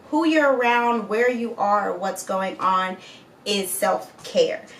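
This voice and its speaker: Over noticeable background noise, a woman with a fairly high voice speaks fairly slowly in an animated tone with very wide pitch swings. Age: 30s. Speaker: lifestyle vlogger. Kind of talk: casual vlog monologue.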